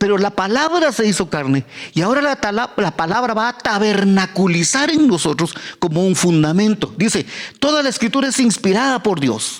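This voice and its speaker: Noticeable background noise accompanies a voice at a moderate pace whose pitch swings very widely while its loudness stays very even. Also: man, high pitch for a man. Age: 70s; old. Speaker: pastor. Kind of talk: sermon. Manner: halting.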